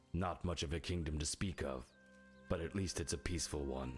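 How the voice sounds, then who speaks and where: With clear music in the background, a man puts on a character voice with a very deep, low pitch, talking at a fairly quick pace with fairly even intonation and very even loudness. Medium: video game. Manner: gloating, self-satisfied.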